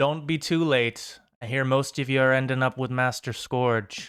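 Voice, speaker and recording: Medium-pitched put-on character voice from a man, moderate pace, in a very clean recording with a silent background. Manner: yelling.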